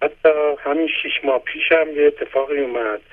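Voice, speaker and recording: Here a man talks at a moderate pace. His pitch is fairly high with ordinary variation. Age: 60s. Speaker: caller. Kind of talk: phone-in testimony.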